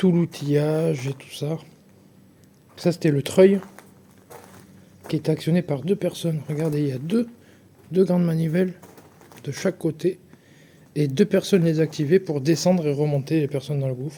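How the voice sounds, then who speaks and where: At a moderate pace, a man with a fairly high pitch keeps his intonation fairly even while his loudness swings widely and long, frequent pauses recur. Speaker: travel vlogger. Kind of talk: casual vlog narration. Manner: soft-spoken.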